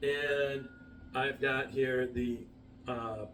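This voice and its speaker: A man speaks at a medium pitch with fairly even intonation. There is audible echo from the room. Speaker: whiskey reviewer. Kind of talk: tasting review to camera. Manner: hesitant, many fillers.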